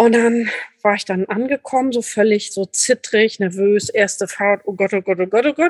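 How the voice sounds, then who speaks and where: A woman with an unremarkable speaking voice talks at a moderate pace, her fairly high pitch showing ordinary variation, in a dry, close recording with no echo. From Lübeck, northern Germany. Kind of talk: casual interview chat.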